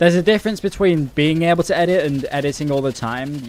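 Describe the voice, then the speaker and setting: At a fairly quick pace, a man talks with a British accent. His pitch is fairly high. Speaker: gaming streamer. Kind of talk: casual live-stream chat while gaming. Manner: casual, slangy.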